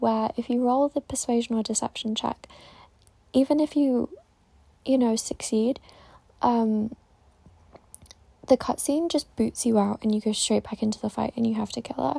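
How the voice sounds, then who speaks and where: A woman's fairly high voice with a dark, mellow tone, ordinary pitch variation, a moderate pace, long and frequent pauses, and a dry, close sound with no echo. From England, between the Midlands and South Yorkshire. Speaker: gaming content creator. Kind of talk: casual video commentary. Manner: filler-heavy, rambling delivery with many ums.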